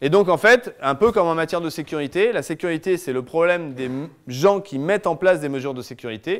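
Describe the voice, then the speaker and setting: A high-pitched male voice, fairly quick in pace, with lively intonation and hardly any pauses. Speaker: lawyer giving a talk. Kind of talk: lecture. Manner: fast.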